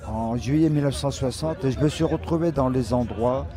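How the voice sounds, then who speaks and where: Noticeable background noise sits behind a man's voice. He has a medium pitch and speaks at a fairly slow pace. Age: 70s. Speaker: rock musician. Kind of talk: interview.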